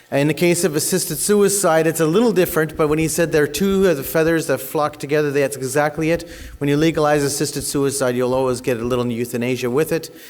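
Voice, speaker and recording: A man with a Canadian accent talks at a very fast pace in a fairly high voice. Noticeable background noise is present. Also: ordinary pitch variation. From Canada. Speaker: conference speaker, advocacy organization leader. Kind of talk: conference presentation.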